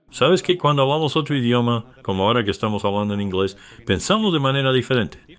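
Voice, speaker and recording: A man speaks very fast at a medium pitch. His intonation is lively and his loudness stays very even. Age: 40s. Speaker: podcast host. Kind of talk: casual interview chat.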